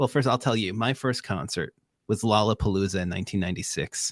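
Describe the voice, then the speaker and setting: Someone talks at a fairly quick pace in a Long Island accent, the recording very clean with a silent background and a dry, close sound with no echo. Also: man. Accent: Long Island New York. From Long Island, New York. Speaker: podcast co-host. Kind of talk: casual chat. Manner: animated.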